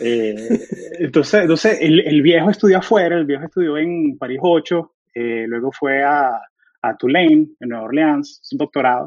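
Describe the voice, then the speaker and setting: This is a man with an ordinary speaking voice, pitched fairly high. His pace is moderate and his pitch variation ordinary. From Venezuela (Caracas), moved to Florida, US at 13. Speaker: software engineer. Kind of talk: casual interview chat.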